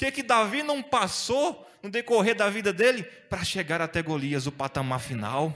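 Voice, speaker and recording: A man with a Brazilian accent, moderate pace, very wide pitch swings and a bright, sharp tone. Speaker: preacher. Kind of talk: sermon. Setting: church. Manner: animated; exhortative, call-and-response. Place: church. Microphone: handheld.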